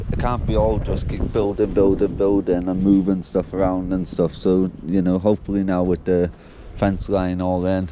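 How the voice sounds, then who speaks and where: Very deep, low male voice at a moderate pace, with noticeable background noise. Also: ordinary pitch variation. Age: young. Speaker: allotment gardener vlogger. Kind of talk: casual vlog monologue. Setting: outdoors.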